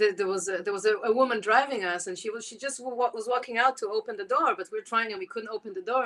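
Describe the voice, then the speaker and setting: Speaking very fast with a strong Israeli accent, a woman uses a fairly high pitch and ordinary pitch variation. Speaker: jazz clarinetist. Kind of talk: interview.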